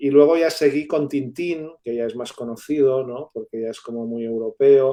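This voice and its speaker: With a Catalan accent, a man talks at a fairly slow pace, his pitch fairly high and his intonation fairly even. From Catalonia, Spain. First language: Catalan (speaking Spanish). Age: 60s. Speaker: university professor and writer. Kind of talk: interview. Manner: halting, many fillers.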